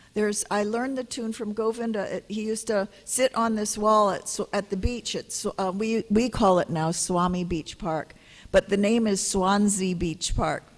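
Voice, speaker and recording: In a Hawaiian accent, the speaker keeps a moderate pace with hardly any pauses and fairly even intonation, on a very clean recording with a silent background. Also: woman, medium pitch for a woman. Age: 70s. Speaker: spiritual teacher. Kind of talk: religious lecture. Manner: conversational.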